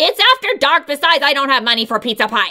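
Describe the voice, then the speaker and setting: A put-on character voice at a very fast pace, full of lively intonation. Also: woman. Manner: cross, scolding.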